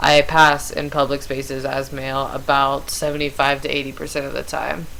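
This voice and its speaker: A woman talks fairly slowly with a very deep, low pitch. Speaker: vlogger. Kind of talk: casual chat. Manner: casual, many fillers like 'um' and 'like'.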